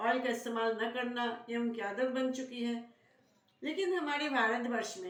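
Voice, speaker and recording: A woman speaks in a high voice with ordinary pitch variation, recorded with noticeable background noise and audible room echo. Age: 70s. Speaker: Ayurvedic beauty consultant. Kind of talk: tutorial.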